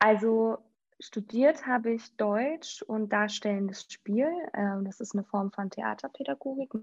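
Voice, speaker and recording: An unremarkable speaking voice, this woman talks at a fairly slow pace with a fairly high pitch and lively intonation, in a dry, close sound with no echo. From Schleswig-Holstein, near Preetz. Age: 30s. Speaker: youth volunteer program coordinator, former teacher. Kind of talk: podcast interview.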